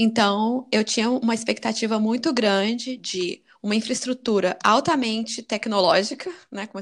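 With an unremarkable speaking voice, a woman talks at a fairly high pitch with ordinary pitch variation. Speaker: podcast host, immigrant college graduate. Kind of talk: casual chat.

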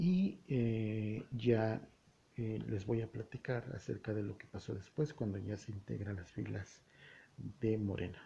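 A man's fairly low, dark and mellow voice, somewhat breathy, at a very slow pace with ordinary pitch variation. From Mexico, Puebla (Tehuacán area). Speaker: solo news podcaster. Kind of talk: solo news commentary.

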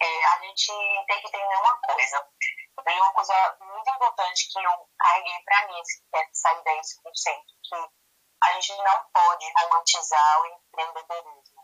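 Speaking at a fairly slow pace, a woman has a bright, sharp tone, medium pitch and ordinary pitch variation. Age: 30s. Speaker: entrepreneur. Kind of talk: casual interview.

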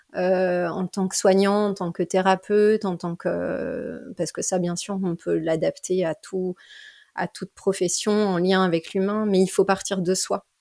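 With a dry, close sound and no echo, a woman speaks fairly slowly at a medium pitch, her tone dark and mellow and her intonation fairly even. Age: 30s. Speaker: general practitioner and dance therapist. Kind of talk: interview. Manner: hesitant, many fillers.

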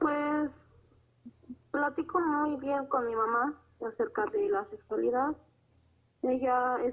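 Her voice high, a woman goes at a fairly slow pace with long, frequent pauses and very wide pitch swings. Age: 20s. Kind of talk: interview.

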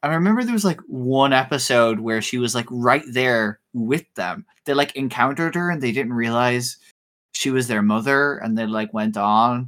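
On a very clean recording with a silent background, a man talks at a moderate pace at medium pitch in a normal speaking voice. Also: ordinary pitch variation. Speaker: podcast co-host. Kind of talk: casual chat.

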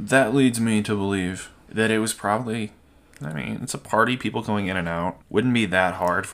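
Speaking at a fairly quick pace, a man talks with a slight Southern US accent. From US South. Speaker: podcast host. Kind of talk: casual chat, storytelling.

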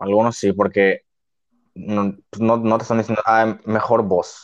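A man with a Mexican accent and a medium-pitched voice. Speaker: podcast co-host. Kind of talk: casual chat. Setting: same room as co-host.

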